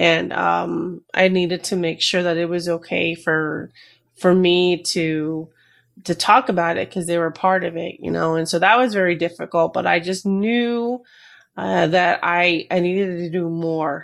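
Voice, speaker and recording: A woman uses a normal speaking voice, fairly low in pitch, with fairly even intonation at a moderate pace. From New Jersey, US. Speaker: retired Army veteran and mental health advocate. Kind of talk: interview.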